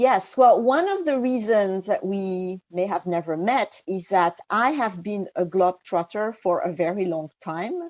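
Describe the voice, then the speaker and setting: With a French accent, a woman speaks at a fairly slow pace in a medium pitch with lively intonation. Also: hardly any pauses, dry, close sound with no echo, quiet background. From France. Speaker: executive coach. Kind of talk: interview conversation. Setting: remote call. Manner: hesitant, many fillers.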